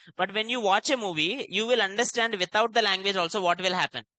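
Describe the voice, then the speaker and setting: The speech moves at a very fast pace against a quiet background. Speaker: programming instructor. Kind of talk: lecture.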